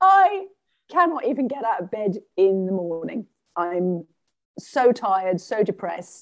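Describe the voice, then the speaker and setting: A woman with an English accent and a medium-pitched voice speaks fairly slowly with lively intonation. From England. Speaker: shamanic practitioner and life coach. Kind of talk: interview.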